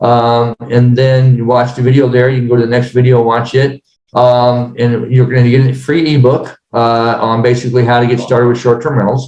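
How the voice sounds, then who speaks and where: A man with a medium-pitched voice talks at a fairly quick pace in a flat monotone, with audible room echo. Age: 60s. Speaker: real estate business owner. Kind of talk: podcast interview. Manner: halting, many fillers.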